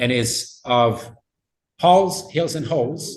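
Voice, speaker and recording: Somewhat breathy and fairly high for a man, his voice moves at a very slow pace with ordinary pitch variation. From Italy. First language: Italian. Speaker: linguistics professor. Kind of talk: lecture Q&A. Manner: halting.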